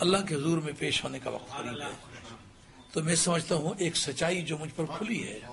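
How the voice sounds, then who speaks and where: Fairly high male voice at a moderate pace with ordinary pitch variation, audible room echo and noticeable background noise. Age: 60s. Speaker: Islamic scholar, preacher. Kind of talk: sermon.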